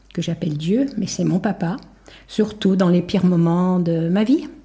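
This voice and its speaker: Speaking fairly slowly, a woman with a medium pitch and ordinary pitch variation has a dark, mellow, somewhat breathy tone. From France, Haute-Savoie near Geneva. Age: 70s. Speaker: bereaved mother sharing testimony. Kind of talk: testimony.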